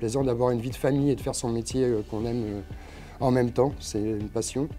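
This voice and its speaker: Dark, mellow male tone at medium pitch with fairly even intonation. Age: 50s. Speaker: hospital cook. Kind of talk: workplace interview. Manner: hesitant, many fillers.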